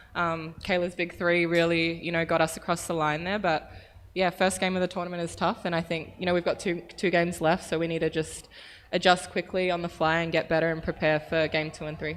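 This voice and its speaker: This woman has an Australian accent and a fairly low pitch, speaking at a fairly quick pace in a flat, monotone intonation. The background is quiet. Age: young. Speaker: professional basketball player. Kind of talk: press conference answers. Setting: press conference room.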